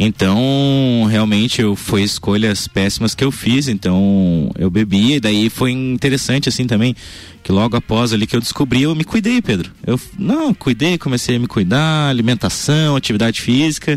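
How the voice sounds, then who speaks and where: This man has an ordinary speaking voice, medium in pitch with ordinary variation, delivered at a moderate pace and a very even loudness. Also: hardly any pauses. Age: 20s. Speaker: radio health columnist. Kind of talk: radio chat.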